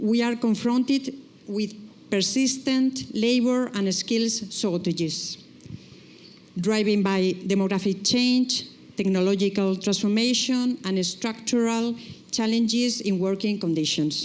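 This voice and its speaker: A woman with a fairly high pitch talks at a fairly slow pace, with ordinary pitch variation and very even loudness. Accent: Spanish. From Spain. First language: Spanish. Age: middle-aged. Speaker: nurses' trade union leader. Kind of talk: reading aloud a prepared speech.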